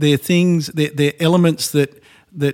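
With an Australian accent, a man speaks in a fairly high pitch. The sound is dry and close with no echo. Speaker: co-founder of a later-living company. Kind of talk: panel discussion.

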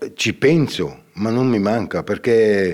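At a very slow pace, a man with a fairly low voice speaks with lively intonation. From Ticino, Switzerland. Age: 60s. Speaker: painter. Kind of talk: casual interview. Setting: stage with audience. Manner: halting.

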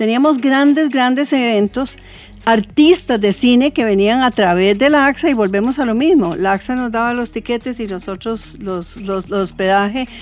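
Noticeable background noise sits under a woman's fairly high voice. She talks at a moderate pace with ordinary pitch variation. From Costa Rica. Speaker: retired hotel sales manager. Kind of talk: casual chat.

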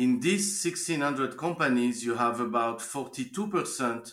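Lively intonation marks this man's speech in a French accent. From France. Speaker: life science investment banker. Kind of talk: interview.

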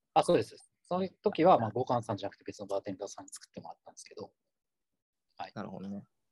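His voice somewhat breathy, a man speaks with very wide pitch swings in a dry, close sound with no echo. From Kumamoto, Japan. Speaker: consultant. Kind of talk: casual chat.

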